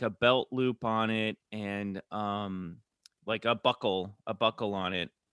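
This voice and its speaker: A man with a Midwestern accent speaks in a bright, sharp tone. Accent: General American (Midwest). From US Midwest, Kansas City. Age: 40s. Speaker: actor and podcaster. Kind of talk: casual interview. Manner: halting, many fillers.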